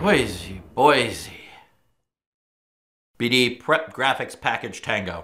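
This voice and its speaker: A raspy, put-on character voice at a low-to-middle pitch moves at a very slow pace with long, frequent pauses. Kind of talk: comedy sketch, game show host patter.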